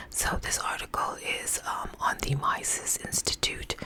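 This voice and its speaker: With noticeable background noise around her, a woman whispers very slowly. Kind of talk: casual talk to camera. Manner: whispered.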